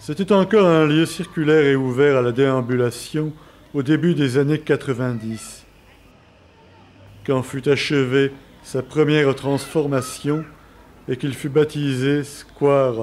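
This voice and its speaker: Speaking very slowly with long, frequent pauses, a man keeps a fairly high pitch and fairly even intonation. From France, Marseille. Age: 40s. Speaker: documentary narrator. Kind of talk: scripted narration.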